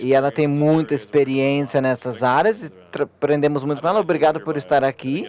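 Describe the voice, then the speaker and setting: At a fairly quick pace, a man with a non-native accent speaks at a fairly high pitch with ordinary pitch variation. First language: English (speaking Portuguese). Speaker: panel moderator, company CEO. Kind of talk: conference panel discussion. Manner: halting.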